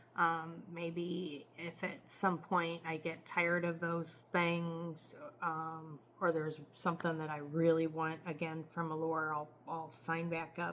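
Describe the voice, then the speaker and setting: A woman speaks very slowly in a fairly low, flat, monotone voice. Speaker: beauty vlogger. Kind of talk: casual product review. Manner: hesitant, many fillers.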